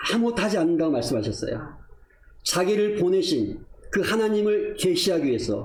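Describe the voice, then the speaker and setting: Amid noticeable background noise and audible room echo, a man talks at a fairly quick pace with very even loudness. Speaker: missionary preacher. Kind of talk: sermon.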